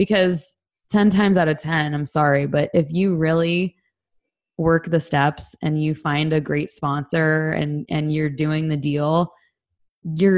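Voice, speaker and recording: This woman has a very deep, low pitch. She talks with a Californian accent. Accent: Californian American English. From Southern California. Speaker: recovering addict sharing her story. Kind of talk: personal testimony interview.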